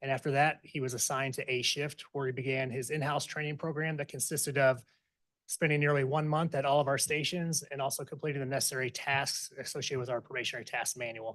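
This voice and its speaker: A man talks at a very fast pace in a monotone, flat intonation. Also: fairly high pitch for a man, quiet background. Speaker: fire chief. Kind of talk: formal presentation.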